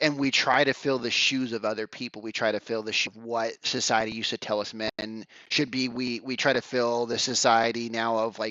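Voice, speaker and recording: Here a man with an unremarkable speaking voice talks at a fairly quick pace. His pitch is medium and his intonation fairly even. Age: 40s. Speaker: men's coach. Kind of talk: podcast interview.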